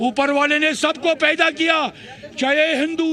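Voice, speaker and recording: A man projects in a raised voice at an extremely high pitch. Noticeable background noise sits behind him. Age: 60s. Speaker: protester. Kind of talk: street interview. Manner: impassioned.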